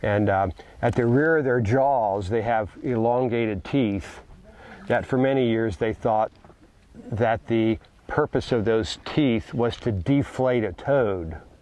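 A man speaks at a very slow pace with ordinary pitch variation. The sound is dry with no echo. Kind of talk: educational explanation. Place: forest. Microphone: lapel.

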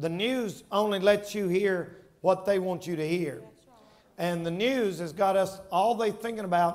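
This man has a high-pitched voice. He speaks at a fairly slow pace. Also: ordinary pitch variation. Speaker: preacher. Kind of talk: sermon. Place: church. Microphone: headset.

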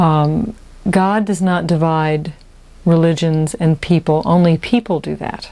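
A dark, mellow tone with fairly even intonation at a fairly slow pace. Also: woman. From Texas. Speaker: author and lecturer. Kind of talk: interview answer. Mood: calm, reflective. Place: home room. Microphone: lapel.

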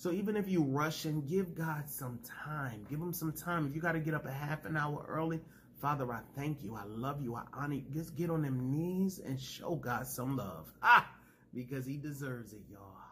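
Over light background noise, a man talks at a moderate pace. His voice is bright and sharp at a fairly high pitch. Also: ordinary pitch variation. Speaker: preacher and YouTube ministry host. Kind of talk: fervent prayer and preaching. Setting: home video recording for YouTube. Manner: fervent, emotional, call-and-response style, praise-filled; animated, exclamatory. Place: home room. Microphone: phone near.

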